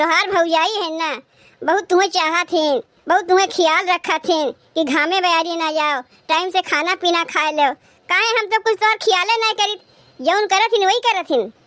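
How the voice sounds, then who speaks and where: A woman's cartoonish character voice, pitched extremely high. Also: moderate pace. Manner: sharp, scolding.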